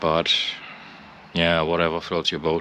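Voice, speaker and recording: A man's very deep, low voice with a non-native accent, bright and sharp in tone, monotone and flat, very slow, dry with no echo, over light background noise. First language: not English. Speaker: motorcycle owner. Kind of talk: casual walkaround commentary. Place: street. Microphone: phone near.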